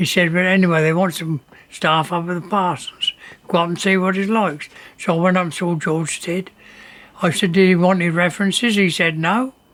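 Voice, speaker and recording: Over noticeable background noise, a man talks at a fairly quick pace in a high voice with fairly even intonation. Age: 80s+. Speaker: former print worker. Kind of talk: interview testimony.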